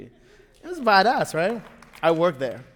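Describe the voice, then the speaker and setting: Speaking in a Spanish accent, a man keeps a moderate pace with ordinary pitch variation. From Venezuela, Caracas. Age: 40s. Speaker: storyteller. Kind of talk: live storytelling. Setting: stage with audience.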